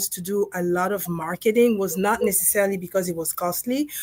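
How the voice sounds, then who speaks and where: In a Congolese accent, a woman speaks at a medium pitch with ordinary pitch variation. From Democratic Republic of Congo. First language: French. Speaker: dentist and co-author. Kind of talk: interview on a livestream panel.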